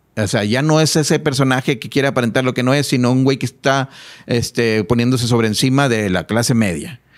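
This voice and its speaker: The man talks at a fairly quick pace with ordinary pitch variation. The background is quiet. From Mexico. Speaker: musician; guest. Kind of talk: casual chat. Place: studio. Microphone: studio mic.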